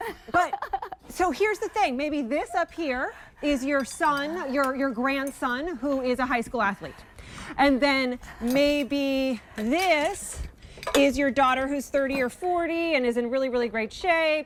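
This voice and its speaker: A woman's high, upbeat voice with lively intonation at a fairly slow pace, over noticeable background noise. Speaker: TV shopping host. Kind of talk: TV shopping presentation.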